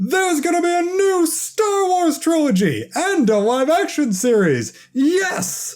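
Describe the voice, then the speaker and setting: In a high, put-on character voice, the speaker goes at a fairly slow pace with hardly any pauses and very even loudness. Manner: big, boisterous.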